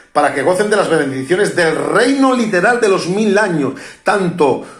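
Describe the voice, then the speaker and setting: With lively intonation and a high pitch, a man speaks at a moderate pace, his loudness very even, in a room with audible echo. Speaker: preacher. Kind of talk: sermon. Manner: halting, frequent self-corrections.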